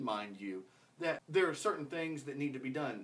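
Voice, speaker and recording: A man speaks with lively intonation. His voice carries vocal fry. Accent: American. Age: 30s. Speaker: podcast host. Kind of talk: casual chat.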